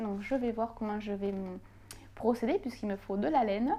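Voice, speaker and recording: A woman speaks with a slight Toulouse accent. Her dark, mellow tone has a fairly high pitch. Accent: southern French (Toulouse), slight. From southern France, Toulouse. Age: 20s. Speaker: knitting YouTuber. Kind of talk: casual Q&A vlog. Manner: hesitant, many fillers.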